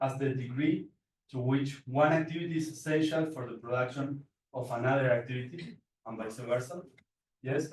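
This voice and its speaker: A male voice, somewhat breathy, with ordinary pitch variation and a moderate pace. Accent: Spanish. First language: Spanish. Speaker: PhD researcher presenting paper. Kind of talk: conference presentation. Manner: halting, many repetitions and fillers.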